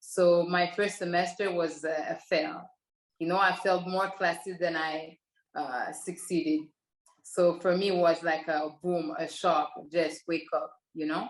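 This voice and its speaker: A woman speaks in a Quebec accent at a fairly low pitch. Her pace is fairly slow and her intonation fairly even. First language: French. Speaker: professional basketball player. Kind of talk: interview.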